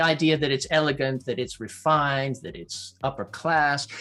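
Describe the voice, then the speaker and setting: The speaker keeps a moderate pace against noticeable background noise. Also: man. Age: 60s. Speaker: calligrapher. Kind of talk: interview.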